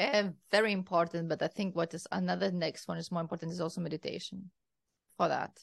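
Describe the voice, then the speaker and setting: Talking very fast with vocal fry, a woman with a Lithuanian accent uses a fairly low pitch. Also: fairly even intonation. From Lithuania, Kaunas. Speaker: wellness and mindset coach, entrepreneur. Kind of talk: interview.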